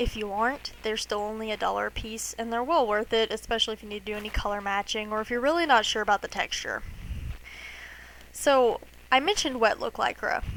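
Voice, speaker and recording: A woman speaks at a fairly quick pace in an American accent. Hers is an unremarkable speaking voice, fairly high in pitch. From United States. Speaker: cosplay maker. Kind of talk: tutorial. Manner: casual.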